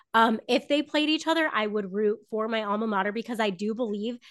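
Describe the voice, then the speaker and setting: A woman with a plain, everyday voice, fairly high in pitch and at a fairly quick pace, over a quiet background. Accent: American. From Southern Florida. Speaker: former sports journalist, podcaster. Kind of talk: casual interview chat.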